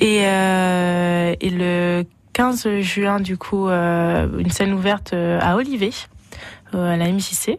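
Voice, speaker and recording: Very slowly and at a very even loudness, a woman talks at medium pitch with fairly even intonation. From France, Berry (Vierzon). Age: 20s. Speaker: singer. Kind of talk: radio interview. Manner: hesitant, filler words.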